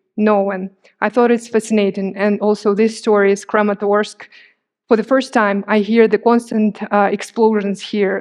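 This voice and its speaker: In an Eastern European accent, a woman speaks at a moderate pace. Her fairly high voice is monotone and flat. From Crimea, Ukraine. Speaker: journalist. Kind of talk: public talk with slides. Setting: stage with audience.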